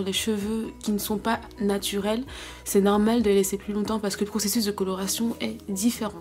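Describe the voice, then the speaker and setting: A woman's medium-pitched voice at a fairly quick pace, with music in the background. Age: 20s. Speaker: beauty vlogger. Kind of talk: storytime vlog.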